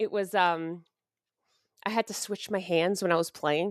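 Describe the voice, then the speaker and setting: On a very clean recording with a silent background and a dry, close sound with no echo, a woman with a New York accent speaks at a moderate pace in an animated tone with ordinary pitch variation. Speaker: streamer. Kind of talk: casual interview chat.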